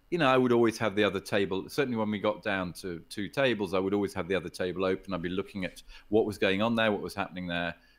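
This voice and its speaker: A very fast-talking man with an English accent, a fairly low pitch and ordinary pitch variation. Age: 60s. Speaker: poker player and poker executive. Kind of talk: podcast interview. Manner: hesitant, many repetitions.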